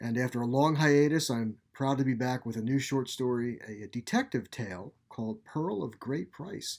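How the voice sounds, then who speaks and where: With an ordinary speaking voice, a man of medium pitch and ordinary pitch variation talks at a moderate pace with hardly any pauses, in a very clean recording over a silent background. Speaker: author narrating his own fiction. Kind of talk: podcast host introduction.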